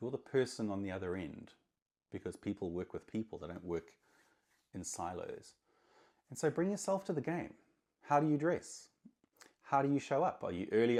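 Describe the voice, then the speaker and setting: A man speaks loudly at a medium pitch and a moderate pace, his pitch swinging very widely. He leaves long, frequent pauses. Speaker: marketing consultant. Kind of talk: talking-head monologue. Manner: energetic.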